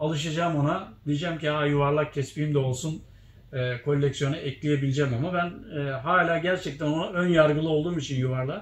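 Audible room echo surrounds a man with a fairly high, somewhat breathy voice. He speaks at a fairly quick pace with fairly even intonation. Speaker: tespih shop owner and video host; video host. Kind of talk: casual chat. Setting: inside a shop. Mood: relaxed, reflective. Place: shop.

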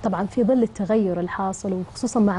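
Ordinary pitch variation at a fairly quick pace. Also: woman. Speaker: doctor. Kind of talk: TV interview. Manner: hesitant fillers. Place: studio.

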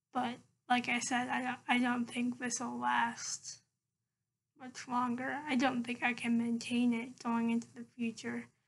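A woman speaks slowly-ish, at a fairly slow pace, in a high pitch with monotone, flat intonation. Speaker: vlogger. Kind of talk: casual vlog monologue. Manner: hesitant, many fillers. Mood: calm, reflective. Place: home room. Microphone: laptop webcam; webcam.

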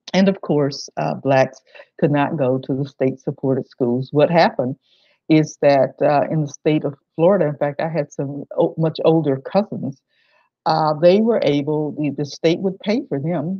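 With an American accent, a woman speaks at a moderate pace with a very deep, low pitch and ordinary pitch variation. The background is quiet and the sound is dry, with no echo. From southwestern Virginia, US South. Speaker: historian and museum director; presenter. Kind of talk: lecture. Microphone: webcam.

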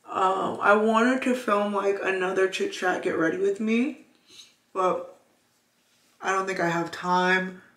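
Against audible room echo, a woman speaks very slowly at a medium pitch with ordinary pitch variation. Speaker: lifestyle vlogger. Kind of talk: casual vlog to camera. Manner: scattered, rambling delivery.

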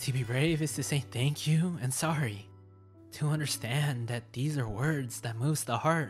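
Music can be heard in the background. The delivery keeps a moderate pace. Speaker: writer and creator. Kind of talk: poetry reading.

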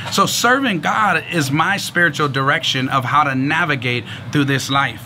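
A man with lively intonation at a fairly slow pace, amid noticeable background noise. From San Francisco, California. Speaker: pastor; speaker. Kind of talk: sermon. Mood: earnest, warm testimony. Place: street.

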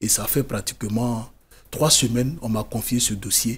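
Somewhat breathy, a man speaks at a fairly slow pace. His intonation stays fairly even. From Côte d'Ivoire. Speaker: writer, former migrant, NGO founder. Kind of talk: TV interview. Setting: TV studio. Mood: earnest, serious storytelling. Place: studio. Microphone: studio mic.

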